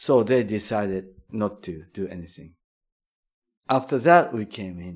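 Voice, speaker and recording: Here is a man with a Japanese accent and a fairly low pitch, using lively intonation. He speaks at a fairly slow pace, with big swings in loudness. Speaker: chocolate maker. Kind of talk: interview. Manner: halting.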